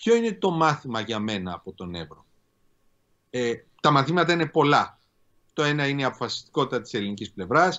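Against a quiet background, a man with a fairly high pitch swings very widely up and down, keeping a moderate pace broken by long, frequent pauses. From Greece. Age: 50s. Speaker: law professor and politician; law professor, politician. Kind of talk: interview. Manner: formal. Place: home room. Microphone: video call.

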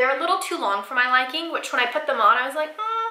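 A woman's raised, projected voice at a very fast pace, with lively intonation and audible room echo. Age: 20s. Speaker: lifestyle YouTuber. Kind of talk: casual vlog talk to camera. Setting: home bathroom, sitting on floor. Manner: chatty, informal. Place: bathroom.

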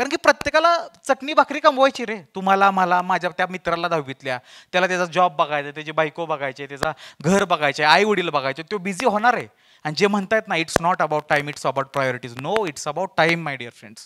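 In a quiet background, a man with a high pitch and a bright, sharp tone sounds animated, with lively intonation and big swings in loudness. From Maharashtra, Satara; Maharashtra. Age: 20s. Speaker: motivational speaker and comedian; motivational speaker, comedian. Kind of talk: stand-up storytelling. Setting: stage with audience. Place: stage. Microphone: handheld.

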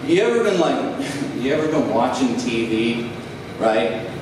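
A man speaks at a fairly slow pace with ordinary pitch variation, audible room echo, and clearly noticeable background noise.

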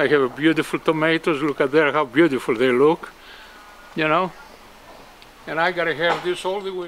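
With a Greek accent, the speech runs at a fairly quick pace broken by long, frequent pauses over light background noise. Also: man, fairly high pitch for a man, fairly even intonation. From Greece. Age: 80s+. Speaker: retired gardener who donates produce. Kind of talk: casual interview. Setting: outdoors. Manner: halting. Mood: proud, warm, cheerful. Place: garden.

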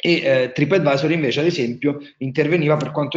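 A man with a strong Marche accent, fairly high in pitch and fairly quick, over a quiet background. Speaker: wine tourism entrepreneur, webinar speaker; webinar speaker. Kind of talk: webinar presentation. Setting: online webinar. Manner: hesitant, many fillers. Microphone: webcam.

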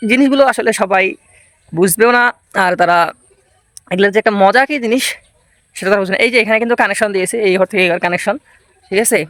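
A man's high-pitched voice with ordinary pitch variation and a dry, close sound with no echo. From rural Bangladesh. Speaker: vlogger. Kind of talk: casual vlog walkthrough.

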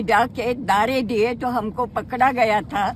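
Very slowly, a woman speaks at a high pitch. The sound is dry with no echo, with light background noise. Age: 80s+. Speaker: freedom struggle veteran; witness. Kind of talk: media interview. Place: street. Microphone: phone near.

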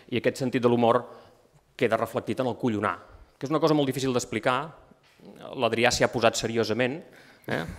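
Against a quiet background, a man talks at a fairly quick pace with fairly even intonation, broken by long, frequent pauses. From Empordà, Catalonia (Begur); Catalonia. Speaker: writer presenting a book. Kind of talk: book presentation talk. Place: hall.

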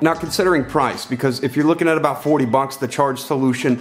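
Faint music plays in the background as a man speaks at a very fast pace and a fairly high pitch. His loudness is very even and his intonation fairly even. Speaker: tech reviewer. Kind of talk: casual product review to camera. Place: home room.

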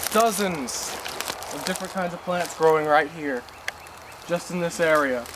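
The voice moves at a moderate pace with fairly even intonation, and noticeable background noise is present. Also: man. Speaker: nature guide vlogger. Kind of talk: casual outdoor tutorial. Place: open country. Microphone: camera far.

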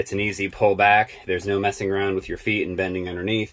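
A man talks in a fairly low register. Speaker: farmer showing his new tractor. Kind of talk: casual walkthrough tutorial. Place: farm machine.

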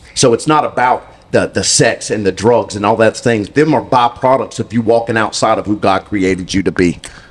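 A man with an American accent talks at a fairly quick pace and medium pitch. His pitch variation is ordinary and his loudness very even. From US South, Mississippi. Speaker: guest. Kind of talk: testimony. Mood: earnest, preaching tone. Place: studio. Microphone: handheld.

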